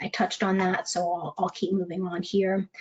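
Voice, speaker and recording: A woman speaks at a fairly quick pace in a medium pitch. Noticeable background noise runs underneath. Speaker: legal malpractice risk speaker. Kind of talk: webinar presentation. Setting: webinar. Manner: fast.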